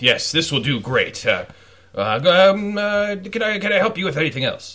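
At a middling speed, the speaker puts on a character voice. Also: man, high pitch for a man. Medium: actual play. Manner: pompous, hesitant.

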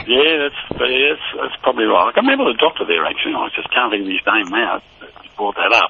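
A man with an Australian accent at a very fast pace, over noticeable background noise. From Tasmania, Hobart area. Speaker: former footballer. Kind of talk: casual interview, reminiscing. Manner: halting, many fillers.

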